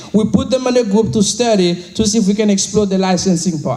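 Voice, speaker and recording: Against noticeable background noise, a man talks at a fairly quick pace. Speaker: financial services team leader. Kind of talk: motivational speech to an audience. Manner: high energy, enthusiastic.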